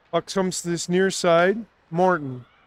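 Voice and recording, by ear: A man with a high pitch speaks at a fairly slow pace with ordinary pitch variation, recorded dry and close with no echo.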